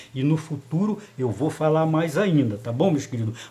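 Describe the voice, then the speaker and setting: Speaking at a moderate pace with ordinary pitch variation, a man is heard amid audible room echo. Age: 70s. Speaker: lay preacher. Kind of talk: sermon. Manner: animated.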